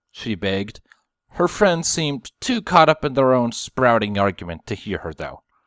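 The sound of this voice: Against a quiet background, the speaker uses an unforced reading voice with lively intonation.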